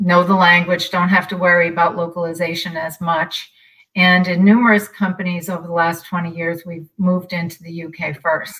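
The voice is somewhat breathy, with an American accent and a moderate pace. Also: woman. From US. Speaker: company sales executive. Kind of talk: webinar panel discussion. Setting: live online webinar.

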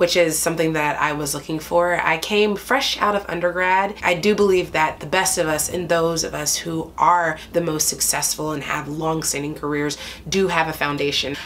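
A woman's fairly low pitch, an ordinary speaking voice, fairly even intonation, and light background noise. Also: moderate pace. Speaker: stage actor. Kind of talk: interview answer.

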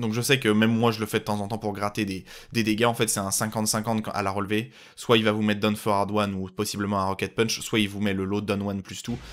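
Monotone and flat, a man's fairly low voice moves at a fairly quick pace on a very clean recording with a silent background. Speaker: video game commentator. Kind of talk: live game commentary. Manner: fast, clipped, rapid-fire callouts of moves and mistakes; casual, encouraging.

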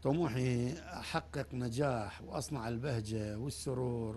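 A man with an Iraqi accent has a somewhat breathy, dark and mellow tone, heard over light background noise. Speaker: football coach. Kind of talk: studio interview. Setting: studio. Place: studio. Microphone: lapel.

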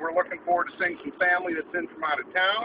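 Noticeable background noise sits under a man's voice. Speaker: car vlogger. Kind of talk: casual vlog chat. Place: car. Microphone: phone near.

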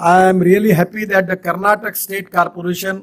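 A fairly quick pace with monotone, flat intonation. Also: man. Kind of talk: public speech. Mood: cheerful, smiling. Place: hall. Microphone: podium.

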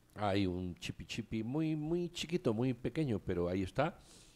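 His pitch swings very widely. The man keeps to a moderate pace. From Spain. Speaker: radio talk show host. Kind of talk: casual chat. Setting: studio. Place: studio. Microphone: studio mic.

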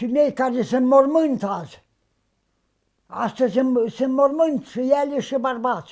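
Against a quiet background, a man with an extremely high pitch and ordinary pitch variation speaks at a very slow pace, leaving long, frequent pauses. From Romania, Bukovina (Suceava county, rural); Romania. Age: 80s+. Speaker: traditional sheepskin coat maker. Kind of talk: interview, life story. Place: home room.

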